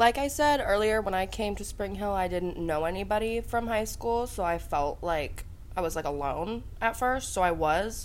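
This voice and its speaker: Audible room echo surrounds a woman speaking at medium pitch with an American accent. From US Midwest, Columbus, Ohio. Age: 20s. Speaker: college student. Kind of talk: casual interview.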